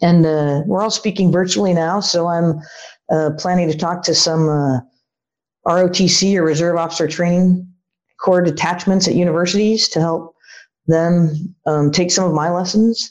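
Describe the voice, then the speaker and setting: Against a quiet background, a woman with an American accent speaks at a moderate pace in an unremarkable speaking voice, her intonation fairly even and her loudness very even. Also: fairly low pitch for a woman. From California. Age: 50s. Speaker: retired fighter and airline pilot, public speaker. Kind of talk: interview.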